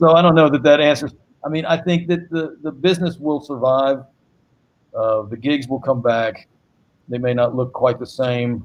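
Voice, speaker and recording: A man's plain, everyday voice with an American accent, fairly high in pitch, at a moderate pace with ordinary pitch variation. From US South, Greensboro, North Carolina. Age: 60s. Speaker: saxophonist and singer-songwriter. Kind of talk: panel discussion.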